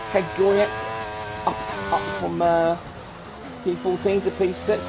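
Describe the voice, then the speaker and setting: Shouting loudly over music in the background, a man with a British accent keeps a moderate pace. His pitch varies in an ordinary way. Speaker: sim racing commentator. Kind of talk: live commentary. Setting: home room with open window. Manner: loud, shouting; animated.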